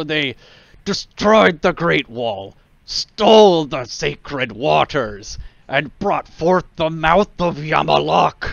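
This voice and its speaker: Using a croaky, put-on character voice, a man speaks at a fairly slow pace. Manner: rousing, working up a crowd.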